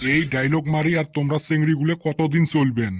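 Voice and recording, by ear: A man speaks in a cartoonish character voice, fairly high-pitched, at a fairly quick pace with fairly even intonation.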